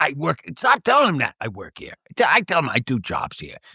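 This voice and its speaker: Over a quiet background with a dry, close sound and no echo, a man puts on a character voice at a high pitch, swinging very widely in pitch at a moderate pace. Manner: depressed, mumbling, complaining.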